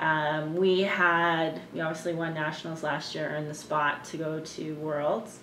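In a Canadian accent, a woman with a very deep, low pitch speaks fairly slowly in a flat monotone, with audible room echo and light background noise. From Canada, Winnipeg; Manitoba, Canada. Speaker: ultimate frisbee player; interviewee. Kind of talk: interview. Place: home room. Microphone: camera far.

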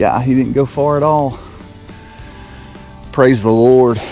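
With faint music in the background, a man speaks slowly at a medium pitch in a dark, mellow tone with ordinary pitch variation.

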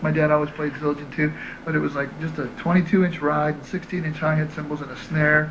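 Noticeable background noise behind a man at a moderate pace, in a flat monotone. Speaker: interviewee. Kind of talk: interview answer. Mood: relaxed, friendly. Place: home room. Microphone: handheld.

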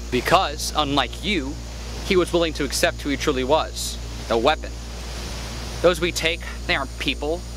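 A man at a moderate pace, dry with no echo, against noticeable background noise. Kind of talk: acted dramatic dialogue. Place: forest.

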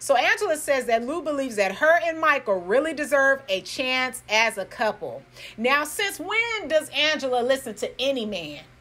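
A woman uses a raised, projected voice with very wide pitch swings, speaking at a moderate pace with hardly any pauses. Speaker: YouTube commentator. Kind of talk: casual commentary recap. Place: home room.

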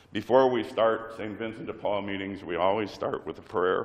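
A man's hoarse, put-on character voice, fairly low in pitch, with ordinary pitch variation at a moderate pace. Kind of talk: opening remarks to audience.

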